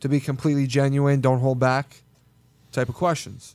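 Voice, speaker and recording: A man with a plain, everyday voice talks at a medium pitch. His pace is moderate. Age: 20s. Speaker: podcast co-host, TV personality. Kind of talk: casual chat. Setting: studio.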